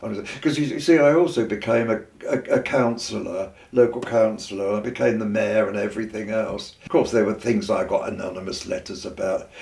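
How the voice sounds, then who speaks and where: The speaker has a southern English accent and moves at a fairly quick pace. Noticeable background noise runs underneath. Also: man. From southern England. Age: 80s+. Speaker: retired teacher and poet. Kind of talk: oral history interview. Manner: halting.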